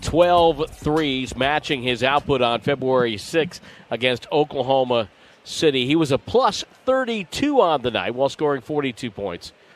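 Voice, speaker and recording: A man with an American accent talks in a plain, everyday voice. His pitch is fairly high and his pace fairly slow. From Connecticut. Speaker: basketball play-by-play announcer. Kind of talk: live commentary and interview.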